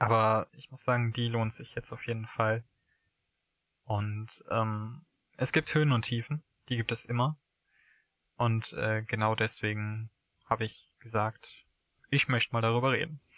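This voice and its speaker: Fairly slow and broken by long, frequent pauses, a man's medium-pitched voice keeps a fairly even intonation in a dry, close sound with no echo. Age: 20s. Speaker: podcast guest in a long-distance relationship. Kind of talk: casual conversation. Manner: halting.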